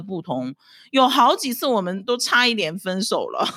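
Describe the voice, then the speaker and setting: Lively intonation marks this woman's plain, everyday voice at a medium pitch. She talks at a moderate pace, and the recording is very clean with a silent background. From China, Dalian (northeast). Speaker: podcast host, housewife. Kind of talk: solo casual commentary.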